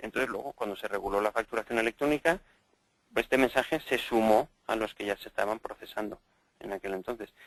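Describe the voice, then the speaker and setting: A man talks at a very fast pace and medium pitch. His pitch varies in an ordinary way, and the sound is dry and close with no echo. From Spain, Valencia. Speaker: EDI software consultant. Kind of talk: interview. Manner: hesitant, many fillers.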